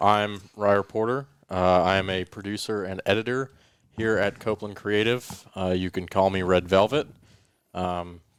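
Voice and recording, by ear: A man at a moderate pace, fairly low in pitch, with a plain, everyday voice, fairly even intonation and a very clean recording with a silent background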